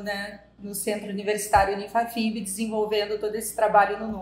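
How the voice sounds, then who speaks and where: Against audible room echo, a woman with a fairly high pitch speaks at a moderate pace in a monotone, flat way. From southern Brazil (Rio Grande do Sul). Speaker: psychologist. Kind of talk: podcast interview.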